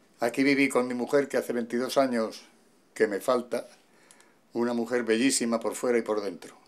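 This man's intonation stays monotone and flat. He keeps to a moderate pace. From Madrid, Spain. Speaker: voice actor and poet. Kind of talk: casual talk to camera, home tour. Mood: warm, nostalgic. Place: home room.

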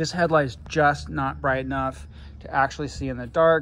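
Light background noise sits behind a man's voice. His intonation is fairly even. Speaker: bike owner reviewing his e-bike. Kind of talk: casual review walkthrough. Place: street. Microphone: phone near.

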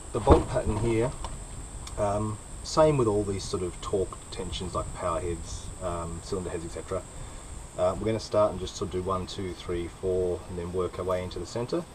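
A man's very deep, low voice at a moderate pace, ordinary pitch variation, noticeable background noise. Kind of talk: tutorial. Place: workshop. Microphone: camera far.

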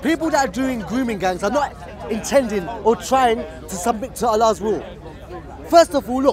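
Over crowd noise in the background, a man talks at a fairly quick pace with lively intonation, the sound dry with no echo. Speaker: street debater. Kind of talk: heated street debate argument. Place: street.

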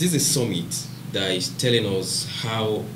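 There is noticeable background noise as a man speaks with a Nigerian accent. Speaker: biomedical research institute founder; podcast panelist, business trainer. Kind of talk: panel discussion. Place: studio.

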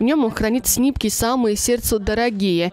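Her voice sits at a high pitch for a woman, with ordinary pitch variation. She speaks at a moderate pace. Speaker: TV news correspondent. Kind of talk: TV news report narration.

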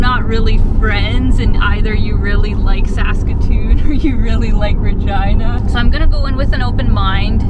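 A woman talks at a moderate pace, the sound dry and free of echo, though loud background noise runs behind her. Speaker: travel vlogger. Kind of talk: casual vlog chat. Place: car. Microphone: phone near.

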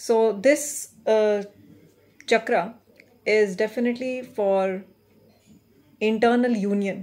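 At a very slow pace and with long, frequent pauses, a woman speaks in a fairly high pitch with fairly even intonation. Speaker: meditation guide. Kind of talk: guided meditation. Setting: recorded video for online viewers. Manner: gentle, instructive. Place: home room. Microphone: phone near.

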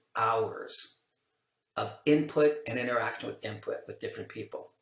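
Amid audible room echo, a man with an American accent speaks at a moderate pace. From California, US. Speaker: language acquisition researcher, professor. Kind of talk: interview, casual explanatory chat. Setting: video call. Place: home room.

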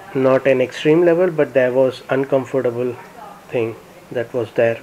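The man's pitch sits at a medium level, his tone slightly mellow.

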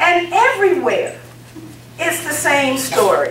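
Amid light background noise and audible room echo, a woman speaks very slowly at an extremely high pitch. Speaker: guest. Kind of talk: public speech. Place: hall. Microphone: camera far.

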